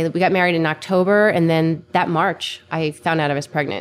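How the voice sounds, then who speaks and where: A woman speaks in an unremarkable speaking voice. Her pitch is fairly low and her intonation fairly even. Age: 30s. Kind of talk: casual interview chat.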